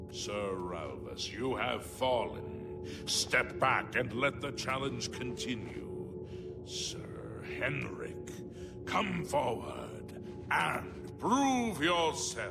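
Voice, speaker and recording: A man's put-on character voice, very deep and low, delivered at a very slow pace over loud music in the background. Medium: video game. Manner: solemn, formal, ceremonial.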